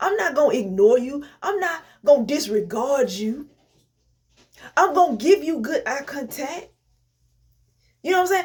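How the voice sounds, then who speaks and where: Her pitch high and swinging very widely, a woman speaks in an animated tone at a moderate pace, with long, frequent pauses. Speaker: inspirational vlogger. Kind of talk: motivational talk. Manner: stutter.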